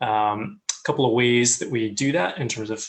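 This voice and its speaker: A man with an American accent talks at a moderate pace and a medium pitch. His pitch variation is ordinary, and there is noticeable background noise. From US. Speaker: communications head of student ministry. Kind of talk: interview. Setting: online live call.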